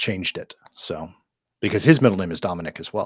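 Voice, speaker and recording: Someone with an American accent talks at a fairly quick pace, the sound dry and close with no echo. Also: man. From Minnesota. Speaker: podcast co-host. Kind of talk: casual chat.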